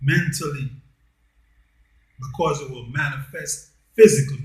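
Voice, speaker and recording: A man's somewhat breathy, fairly high-pitched voice at a very slow pace with fairly even intonation. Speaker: commentary channel host. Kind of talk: monologue. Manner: deliberate.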